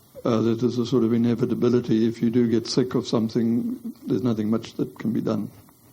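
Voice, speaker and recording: A man talks at a very fast pace in a monotone, flat intonation. His medium pitch has a dark, mellow tone and very even loudness. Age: 80s+. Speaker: theology professor. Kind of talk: lecture Q&A answer. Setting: lecture hall with audience.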